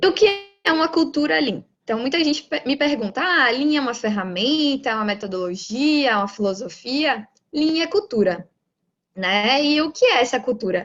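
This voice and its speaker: In a Bahian accent, the speaker moves at a moderate pace with very wide pitch swings. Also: woman, high pitch for a woman. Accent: Bahian Brazilian Portuguese. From Brazil, Bahia. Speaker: lean manufacturing professional, lecturer. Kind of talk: lecture.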